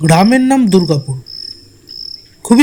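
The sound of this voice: The tone is slightly mellow and the pace fairly slow. The intonation is lively. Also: man.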